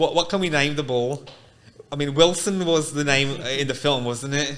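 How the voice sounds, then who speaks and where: Fairly high-pitched, a man speaks with fairly even intonation. Audible room echo surrounds the voice. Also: moderate pace. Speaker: podcast host. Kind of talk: casual podcast interview. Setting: studio.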